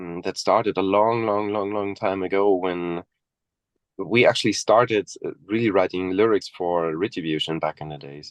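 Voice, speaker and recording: A man with a slight German accent speaks at a fairly low pitch and moderate pace, with fairly even intonation and big swings in loudness. The sound is dry and close with no echo, and the background is quiet. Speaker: death metal musician. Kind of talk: interview.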